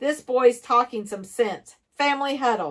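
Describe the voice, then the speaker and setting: A put-on character voice, female-sounding, raspy and high-pitched, at a moderate pace. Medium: read story. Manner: gruff, stubborn.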